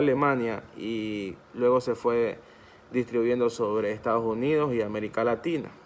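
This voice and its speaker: A man speaks at a fairly slow pace in a medium pitch. His pitch varies in an ordinary way. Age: 20s. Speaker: law student. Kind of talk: academic presentation. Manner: halting, with many restarts and self-corrections.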